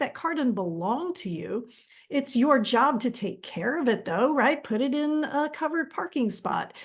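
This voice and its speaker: A woman's high voice with an American accent and lively intonation. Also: quiet background. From Texas. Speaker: counseling trainer. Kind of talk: online training webinar. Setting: live stream. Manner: conversational, with fillers.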